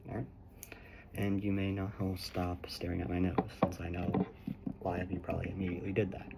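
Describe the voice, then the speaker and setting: Noticeable background noise sits behind a man with a very deep, low pitch. He talks very fast in a monotone, flat delivery broken by long, frequent pauses. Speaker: ASMR creator. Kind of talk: ASMR guided visualization. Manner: slightly quieter than normal, not quite soft-spoken.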